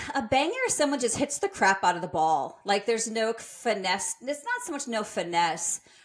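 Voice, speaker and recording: A woman talks in an animated tone at a fairly high pitch, with very wide pitch swings and hardly any pauses. Noticeable background noise is present. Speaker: fitness coach and podcast co-host. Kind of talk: casual chat. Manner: fast.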